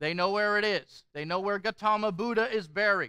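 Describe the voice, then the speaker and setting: A man projects his voice in a bright, sharp tone at a moderate pace. The sound is dry with no echo and the background is quiet. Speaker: pastor. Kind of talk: sermon. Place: hall.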